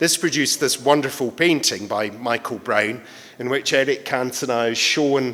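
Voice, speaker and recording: Medium in pitch, a man with a British accent talks at a moderate pace with ordinary pitch variation. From Britain. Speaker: art lecturer. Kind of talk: lecture.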